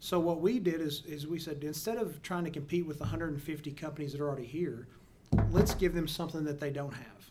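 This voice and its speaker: A man with a Texan accent talks at a fairly quick pace and fairly high pitch with fairly even intonation, with audible room echo. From Texas, small town near Mineral Wells. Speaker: oilfield service entrepreneur and podcast host. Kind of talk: casual interview. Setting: in-person studio recording.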